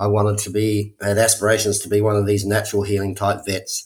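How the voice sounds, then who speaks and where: A man with a New Zealand accent speaks fairly quickly in a somewhat breathy, fairly low voice. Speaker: spiritual workshop leader. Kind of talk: testimony. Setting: remote call.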